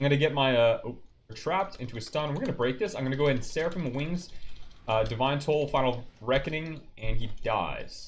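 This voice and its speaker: A somewhat breathy man's voice, fairly high in pitch, fairly quick, with ordinary pitch variation. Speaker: gaming content creator. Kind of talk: gameplay tutorial. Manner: self-described stuttering over words.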